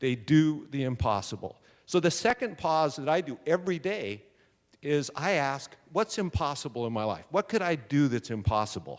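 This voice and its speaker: In a very clean recording with a silent background, a man with a fairly high voice speaks loudly and at a moderate pace, his animated tone swinging very widely in pitch. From San Diego, California. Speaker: entrepreneur and speaker. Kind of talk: motivational talk. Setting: stage with audience.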